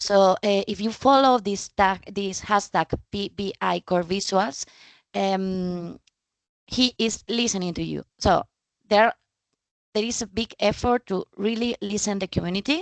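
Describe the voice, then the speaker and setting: This woman has a Spanish accent and a medium pitch with ordinary pitch variation. She speaks at a fairly slow pace in a dry, close sound with no echo. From Spain. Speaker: data trainer and speaker. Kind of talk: presentation. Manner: halting, many fillers.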